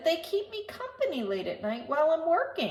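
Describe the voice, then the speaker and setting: A woman puts on a character voice at an extremely high pitch. Her pitch swings very widely at a moderate pace. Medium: read story. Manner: calm, gentle.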